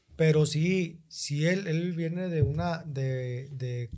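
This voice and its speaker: This man's voice sits fairly high, with a dark, mellow tone, some breathiness and ordinary pitch variation. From northern Mexico, Monterrey. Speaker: stand-up comedian. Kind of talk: casual chat.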